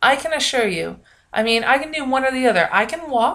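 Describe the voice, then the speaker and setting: A woman speaks loudly at a moderate pace, her tone bright and sharp, with ordinary pitch variation. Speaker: vlogger, university student. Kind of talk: casual vlog monologue. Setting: home video recording, bedroom. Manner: loud, projecting; frequent fillers (um, uh).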